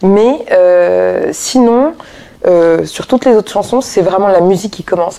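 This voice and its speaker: A woman with a plain, everyday voice talks at a moderate pace, her medium pitch showing ordinary variation. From Paris, France. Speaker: jazz singer. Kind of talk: interview. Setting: hotel lounge.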